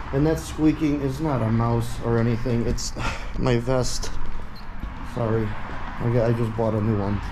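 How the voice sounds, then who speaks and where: Intonation stays fairly even at a moderate pace. Noticeable background noise runs underneath. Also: man. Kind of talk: casual vlog chat. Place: empty room. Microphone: phone near.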